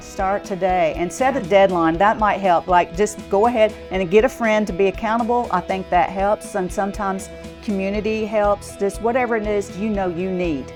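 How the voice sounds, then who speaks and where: Music plays in the background as a woman speaks at a moderate pace with hardly any pauses. Her pitch variation is ordinary. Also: medium pitch for a woman. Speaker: fitness trainer. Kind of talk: interview answer.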